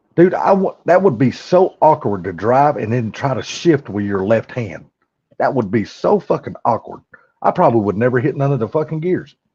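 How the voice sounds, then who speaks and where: A man speaks with a Southern US accent at a medium pitch and moderate pace. His tone is dark and mellow, and his pitch swings very widely. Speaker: livestream co-host. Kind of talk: casual chat.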